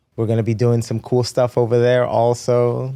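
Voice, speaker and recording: Speaking in a Spanish accent, a man with medium pitch has a dark, mellow tone and monotone, flat intonation. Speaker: fitness trainer and race competitor. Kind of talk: podcast interview. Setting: studio.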